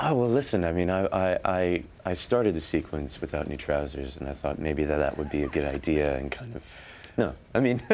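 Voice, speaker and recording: A man speaks at a fairly quick pace in a very deep, low pitch. His intonation is lively, and vocal fry runs through his voice. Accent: American. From United States. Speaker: actor. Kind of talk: interview answer. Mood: friendly, relaxed, a bit amused. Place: studio. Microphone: lapel.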